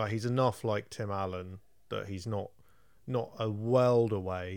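In a very clean recording with a silent background, a man with an English accent speaks at a fairly slow pace and with fairly even intonation. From England. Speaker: film podcast co-host. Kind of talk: casual chat.

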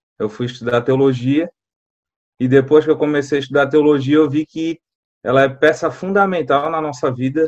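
With fairly even intonation, a man talks in a fairly high voice. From Florianópolis, Santa Catarina, Brazil. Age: 30s. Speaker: assistant pastor. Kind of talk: podcast interview.

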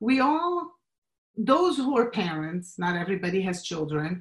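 A woman speaks with a Portuguese accent at a medium pitch. Her voice is somewhat breathy and her pace fairly slow. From Brazil. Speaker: marketing professional and clothing designer. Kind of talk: interview.

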